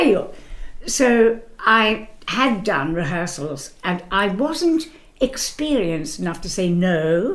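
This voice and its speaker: Using a medium pitch, a woman speaks with very wide pitch swings, and room echo is audible. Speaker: musical theatre actress. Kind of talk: interview.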